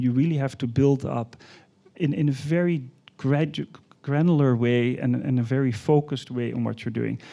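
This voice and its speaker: Fairly even intonation and a dark, mellow tone come from a man speaking with a Dutch accent. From Netherlands. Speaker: art fair executive. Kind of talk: panel discussion.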